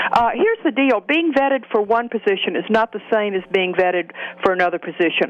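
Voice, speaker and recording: Over noticeable background noise, a woman with a Southern US accent speaks very fast with lively intonation. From US Deep South. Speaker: political commentator. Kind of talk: political talk radio discussion.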